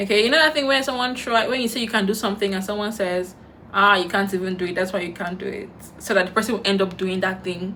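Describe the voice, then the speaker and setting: In a Nigerian accent, a woman with a medium pitch and ordinary pitch variation talks at a very fast pace in an animated tone, with audible room echo. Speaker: YouTuber. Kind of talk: storytime while doing makeup.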